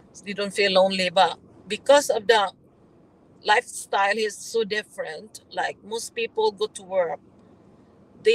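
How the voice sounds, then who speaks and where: Speaking at a fairly slow pace, a woman uses a fairly high pitch with fairly even intonation. Her loudness swings a lot. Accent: Filipino. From Philippines, Visayas. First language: Visayan. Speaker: vlogger. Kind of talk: casual chat.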